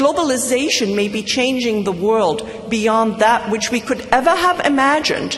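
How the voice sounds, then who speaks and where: A fairly high-pitched woman at a fairly slow pace with ordinary pitch variation, audible room echo and noticeable background noise. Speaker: commencement speaker. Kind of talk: commencement speech. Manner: formal.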